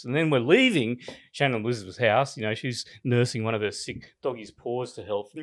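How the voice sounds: A man in an Australian accent, medium pitch with ordinary pitch variation and a fairly quick pace, in a very clean recording with a silent background.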